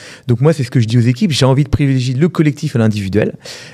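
Very fast and somewhat breathy, a man talks in a dark, mellow tone. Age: 40s. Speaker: entrepreneur, platform founder. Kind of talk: casual interview.

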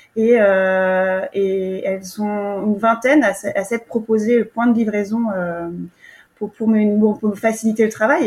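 Her pitch fairly high, a woman speaks with fairly even intonation. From France, Yvelines. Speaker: market gardener. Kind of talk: interview. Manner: halting, many repetitions.

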